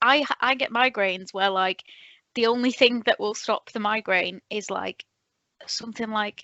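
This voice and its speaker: Using an ordinary speaking voice, a woman speaks at a moderate pace with a fairly high pitch and fairly even intonation. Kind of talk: casual podcast conversation.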